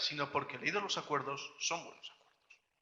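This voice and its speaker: A man speaks with a non-native accent. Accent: foreign (non-Colombian) Spanish. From outside Colombia. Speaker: academic researcher, panelist. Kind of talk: academic panel talk. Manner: halting, many fillers.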